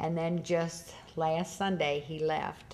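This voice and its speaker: The woman's voice sits fairly low in pitch. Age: 60s. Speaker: Halloween costume shop owner. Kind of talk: documentary interview. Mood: tender, reminiscing about dog. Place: church.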